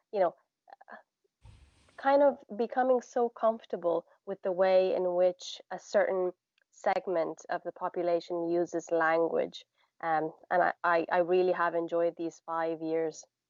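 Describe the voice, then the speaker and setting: A woman with a Romanian accent, fairly low-pitched, at a fairly slow pace, with long, frequent pauses and ordinary pitch variation. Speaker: poet and language teacher. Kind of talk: casual interview. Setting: live stream video call.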